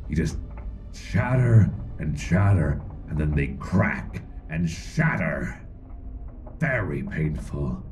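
A man uses a put-on character voice at a very slow pace, with clear background noise behind him. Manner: menacing, wheedling, slow.

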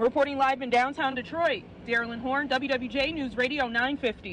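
The pace is fairly quick, and the sound is dry with no echo. Light background noise can be heard. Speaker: radio field reporter. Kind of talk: news report.

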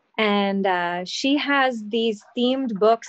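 Against a quiet background, this woman's pitch varies in an ordinary way. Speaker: guest. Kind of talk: interview answer. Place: workshop. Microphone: video call.

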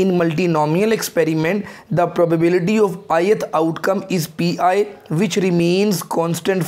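A man talks at a high pitch and moderate pace. His intonation stays monotone and flat. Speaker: teacher. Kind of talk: lecture. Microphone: lapel.

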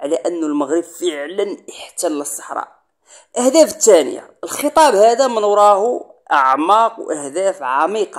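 In a Moroccan accent, the speaker goes at a fairly slow pace with very wide pitch swings. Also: man, high pitch for a man. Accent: Moroccan Darija. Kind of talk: political commentary monologue. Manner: emphatic.

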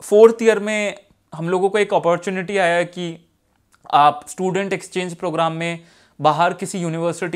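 A man's high-pitched voice with fairly even intonation against a quiet background. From India. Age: 20s. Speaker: civil servant with visual impairment. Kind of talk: personal success story monologue. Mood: calm, reflective. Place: office. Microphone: lapel.

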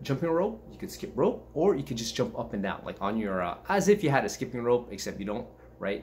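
A man's somewhat breathy voice at a fairly quick pace, with very wide pitch swings over light background noise. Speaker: martial arts fitness vlogger. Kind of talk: casual vlog chat. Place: home room. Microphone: webcam.

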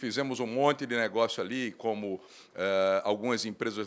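Fairly low in pitch, a man speaks in a plain, everyday voice with ordinary pitch variation. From Brazil, Recife (Pernambuco); Pernambuco, Brazil. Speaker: bank executive; guest. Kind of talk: interview. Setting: trade fair booth studio. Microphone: handheld.

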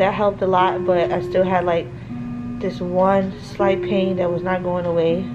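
Music plays clearly behind the speaker. She is a woman. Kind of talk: casual vlog chat. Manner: exhausted, drowsy talk through a mask. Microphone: phone near.

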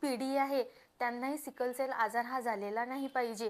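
With fairly even intonation, a woman speaks at a high pitch. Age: 20s. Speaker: sickle cell patient, civil engineer. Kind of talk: testimony.

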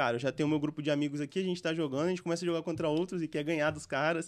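This voice belongs to a man. It sits fairly high in pitch. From interior of Espírito Santo, Brazil. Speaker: gaming entrepreneur; podcast guest. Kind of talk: interview. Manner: casual, slangy. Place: studio. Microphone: studio mic.

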